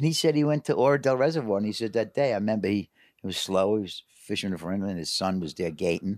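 In a very clean recording with a silent background and a dry, close sound with no echo, a man with an American accent and a fairly low pitch talks at a very fast pace with hardly any pauses and lively intonation. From New York City. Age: 70s. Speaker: carp angler guest. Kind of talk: casual interview chat.

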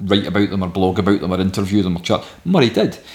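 A man talks at a very fast pace. He has a West of Scotland accent. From Scotland, Ayrshire (Saltcoats). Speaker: record label founder. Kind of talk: interview.

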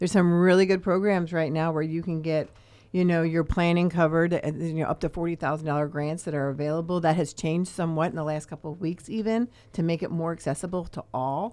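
With a dark, mellow tone and fairly low pitch, a woman talks at a fairly quick pace using fairly even intonation. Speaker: co-host, rental agent. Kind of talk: live radio show chat.

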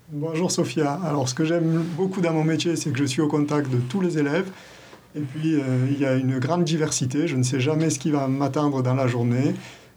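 At a moderate pace, a man with a fairly high pitch speaks with fairly even intonation and very even loudness, amid audible room echo and noticeable background noise. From southern France, Gard. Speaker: deputy school principal. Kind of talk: interview.

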